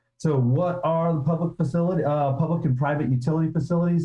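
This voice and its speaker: Here a man speaks with a dark, mellow tone. His voice is somewhat breathy. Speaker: city planning staff. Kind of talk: staff presentation at public meeting. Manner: soft-spoken.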